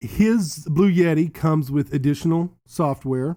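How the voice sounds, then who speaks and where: Over a very clean recording with a silent background, a man speaks in a fairly high pitch with a dark, mellow tone and ordinary pitch variation. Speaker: gaming streamer and tech reviewer. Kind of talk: product review. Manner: loud; casual, with filler ums.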